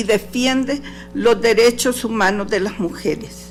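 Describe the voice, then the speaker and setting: Music plays in the background as a woman speaks at a high pitch and a fairly slow pace with ordinary pitch variation. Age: 60s. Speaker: human rights defender. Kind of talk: testimony. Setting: courtroom hearing. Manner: formal.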